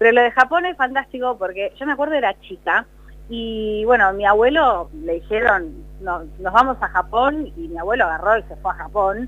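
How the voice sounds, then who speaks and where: Using a plain, everyday voice, a woman with fairly high pitch and lively intonation talks at a moderate pace, her loudness swinging widely. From La Plata, Argentina. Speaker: TV news presenter. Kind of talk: casual interview.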